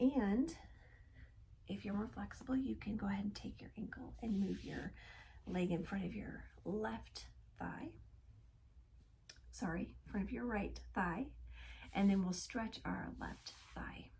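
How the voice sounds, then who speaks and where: Soft-spoken and at a fairly slow pace, a woman talks with long, frequent pauses. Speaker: yoga instructor. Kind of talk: guided yoga instruction.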